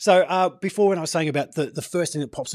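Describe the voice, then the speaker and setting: In an Australian accent, a man talks at a fairly quick pace on a very clean recording with a silent background. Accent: everyday Australian. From Australia, Gold Coast. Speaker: interview show host. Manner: casual, chatty.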